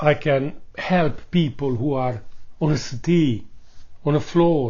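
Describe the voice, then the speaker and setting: Somewhat breathy, a man talks at a very slow pace with ordinary pitch variation. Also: fairly high pitch for a man. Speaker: vlogger, accident survivor. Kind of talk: personal vlog testimony.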